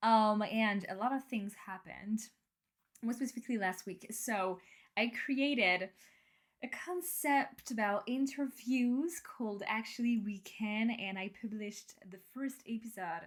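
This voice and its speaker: A woman's somewhat breathy, fairly high voice, upbeat and enthusiastic, at a fairly slow pace with ordinary pitch variation. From France. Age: 20s. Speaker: podcast host. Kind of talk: casual personal podcast talk, self-development. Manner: upbeat, enthusiastic, sincere.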